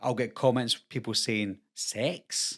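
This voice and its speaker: A man with a Scottish accent at a moderate pace, in a very clean recording with a silent background. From Scotland. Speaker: YouTuber, horror film commentator. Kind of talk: casual talk to camera.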